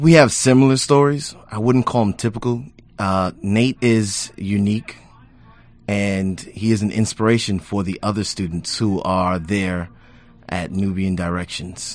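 A man with an American accent speaks at a fairly slow pace in a fairly low pitch, with ordinary pitch variation and a plain, everyday voice. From Brooklyn, New York. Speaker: community tech center staff. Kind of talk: radio interview.

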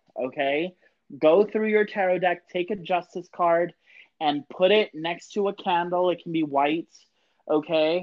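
At a fairly slow pace, a man speaks in a high pitch with fairly even intonation. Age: 30s. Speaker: witch and podcast co-host. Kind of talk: casual chat.

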